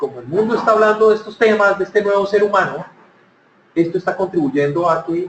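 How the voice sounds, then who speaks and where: With a Cali accent, the voice comes through noticeable background noise. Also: man. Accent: Cali Colombian. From Colombia, Cali. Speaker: speaker on workplace happiness. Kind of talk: conference talk.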